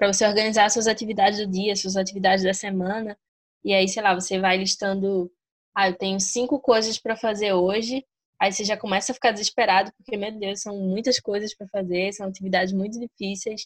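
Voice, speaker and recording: Her voice is medium-pitched and monotone as this woman speaks at a fairly quick pace, the sound dry and close with no echo. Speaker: podcast host. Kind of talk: casual chat.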